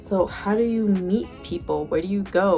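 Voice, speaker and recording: Music sits in the background. A woman talks at a moderate pace and a medium pitch. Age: 20s. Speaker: freelance photographer. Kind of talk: casual talk to camera.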